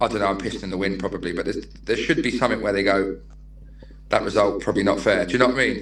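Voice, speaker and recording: Speaking at a very fast pace, a man with a Manchester accent uses a fairly low pitch, ordinary pitch variation and vocal fry. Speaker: non-league football manager. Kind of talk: casual podcast interview. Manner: animated.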